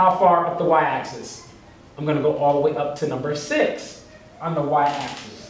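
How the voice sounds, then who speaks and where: A man talks at a moderate pace while noticeable background noise and audible room echo fill the recording. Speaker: teacher. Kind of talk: tutorial.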